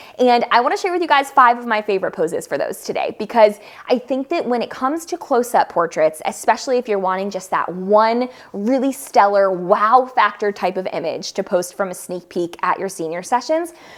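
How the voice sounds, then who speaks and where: Speaking at a fairly quick pace with hardly any pauses, a woman uses a fairly high, animated voice that makes very wide pitch swings. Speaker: photographer and educator. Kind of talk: tutorial. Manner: fast.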